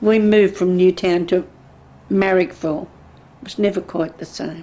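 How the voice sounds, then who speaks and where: Speaking with an Australian accent, a woman at medium pitch has a dark, mellow tone, fairly even intonation, big swings in loudness and a moderate pace. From Sydney, Australia. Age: 70s. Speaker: oral history interviewee. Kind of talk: oral history interview.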